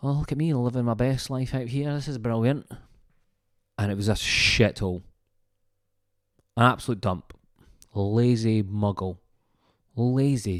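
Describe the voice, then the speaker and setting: Speaking in a Scottish accent at a fairly slow pace, the voice has an animated tone and ordinary pitch variation. Long, frequent pauses break up the speech on a very clean recording with a silent background. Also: man, medium pitch for a man. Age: 30s. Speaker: comedian. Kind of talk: comedic storytelling podcast monologue.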